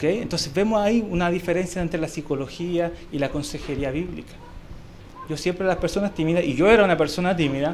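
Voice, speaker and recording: A man talks at a very fast pace with a high pitch and ordinary pitch variation. Audible room echo and noticeable background noise are present. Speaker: Sunday school teacher. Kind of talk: Bible class lecture. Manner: conversational, checks understanding with questions.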